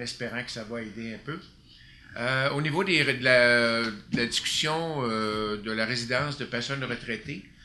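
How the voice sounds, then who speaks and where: The man's voice is medium in pitch, with ordinary variation and a fairly slow pace. The room echoes audibly, and there is noticeable background noise. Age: 60s. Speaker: city councillor. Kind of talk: council meeting report. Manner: hesitant, many fillers.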